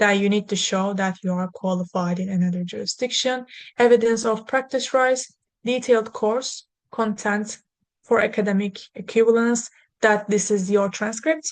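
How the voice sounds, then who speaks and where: A woman talks with a fairly high pitch and fairly even intonation. Her pace is moderate, and the background is quiet. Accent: Turkish. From Turkey. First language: Turkish. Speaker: lawyer. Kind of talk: webinar presentation. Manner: halting.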